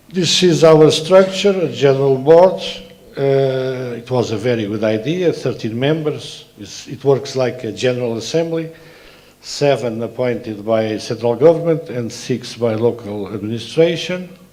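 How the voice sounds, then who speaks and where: Lively intonation in a Portuguese accent at a fairly slow pace, with big swings in loudness, audible room echo, and noticeable background noise. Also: man, medium pitch for a man. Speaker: transport authority president. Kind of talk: conference presentation. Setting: conference. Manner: halting, many filler sounds.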